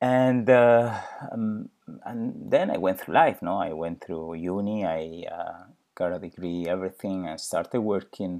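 With a Spanish accent, a man talks at a fairly slow pace. His fairly low voice has a dark, mellow tone and ordinary pitch variation. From Spain. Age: 40s. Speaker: podcast host and personal trainer. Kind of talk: personal monologue. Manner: halting.

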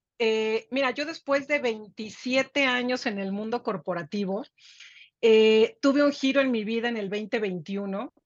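A woman speaks very slowly in a fairly high voice, her pitch rising and falling in an ordinary way. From Mexico. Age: 50s. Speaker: business executive and author. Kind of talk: interview. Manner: halting, many repetitions.

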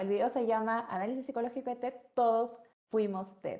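Her tone is dark and mellow. The woman's recording is very clean, and the background is silent. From Peru. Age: 20s. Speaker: psychologist. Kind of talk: casual chat.

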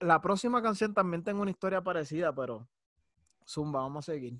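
This man, with a Puerto Rican accent, talks at a fairly quick pace in a high voice with lively intonation. The sound is dry and close with no echo, on a very clean recording with a silent background. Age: 30s. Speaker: podcast co-host. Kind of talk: casual chat.

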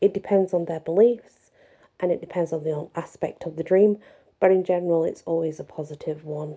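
A woman talks at a moderate pace in an ordinary speaking voice, her pitch fairly low and her intonation fairly even. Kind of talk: poem reading with dream interpretation commentary. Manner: warm, grateful, friendly.

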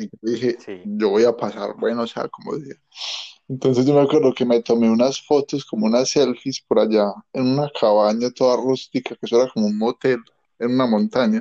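A man's dark, mellow tone sits at medium pitch with fairly even intonation. He talks at a fairly quick pace, the sound dry and close with no echo. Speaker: podcast co-host. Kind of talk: casual chat.

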